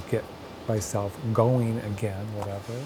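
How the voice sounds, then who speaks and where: A man with an American accent talks fairly slowly in a flat monotone. Music plays behind him, and the room echoes audibly. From northern Pennsylvania (Sayre area). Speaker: folk artist. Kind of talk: documentary interview. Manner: hesitant, conversational.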